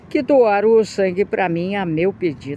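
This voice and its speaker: A woman's voice with noticeable background noise. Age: 60s. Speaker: video blogger. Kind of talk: opinion monologue.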